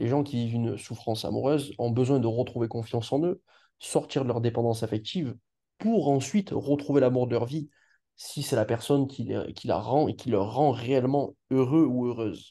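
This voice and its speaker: A man with a dark, mellow tone speaks at medium pitch and a moderate pace. His pitch varies in an ordinary way, and the background is quiet. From Marseille, southern France. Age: 20s. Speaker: relationship coach. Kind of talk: interview testimony. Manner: halting, many fillers.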